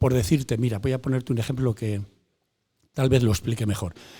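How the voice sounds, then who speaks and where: Somewhat breathy, a man speaks at a medium pitch with a dark, mellow tone and ordinary pitch variation. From Spain, León province. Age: 70s. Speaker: retired football goalkeeper. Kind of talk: interview. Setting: in a bar.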